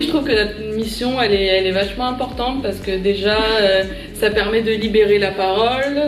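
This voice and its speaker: With noticeable background noise and audible room echo, a woman talks at a moderate pace with fairly even intonation. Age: 20s. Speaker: civic service volunteer. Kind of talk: interview testimony. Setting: at a high school.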